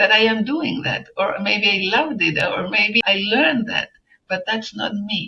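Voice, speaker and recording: Music plays behind a woman who speaks at a moderate pace with a fairly high pitch and ordinary pitch variation. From Chile. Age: 70s. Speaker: journalist and environmental activist. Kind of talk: interview answer.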